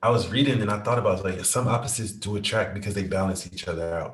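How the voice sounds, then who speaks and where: Very fast and somewhat breathy, a man delivers his lines in a fairly low pitch with fairly even intonation. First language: not English. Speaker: podcast co-host. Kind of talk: casual chat.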